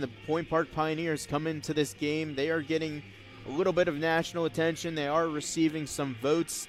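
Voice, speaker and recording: Music plays in the background. The speech comes at a fairly quick pace with fairly even intonation. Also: man. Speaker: sports play-by-play broadcaster. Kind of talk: baseball TV broadcast play-by-play.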